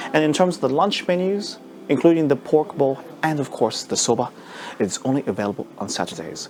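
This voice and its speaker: There is noticeable background noise behind this man. He speaks at a fairly quick pace. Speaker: travel vlogger. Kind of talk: travel vlog presenting.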